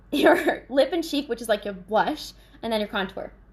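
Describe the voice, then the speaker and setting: A woman at a fairly quick pace with lively intonation, noticeable background noise behind her. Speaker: makeup consultant and vlogger. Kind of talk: live sales demo. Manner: fast.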